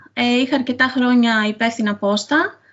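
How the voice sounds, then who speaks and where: A woman speaks at a moderate pace in a high pitch. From Crete, Sitia (Greece). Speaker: author. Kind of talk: interview. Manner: hesitant, many fillers.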